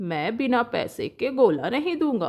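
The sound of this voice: In a cartoonish character voice, a woman speaks at a fairly slow pace. Her pitch is fairly high and makes big swings. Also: slightly mellow tone.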